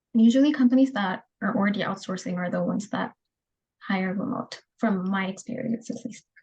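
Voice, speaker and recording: A woman talks at a fairly quick pace, her voice fairly high and somewhat breathy, with ordinary pitch variation. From Ethiopia. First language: Adarinya (Harari). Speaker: job candidate. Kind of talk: job interview.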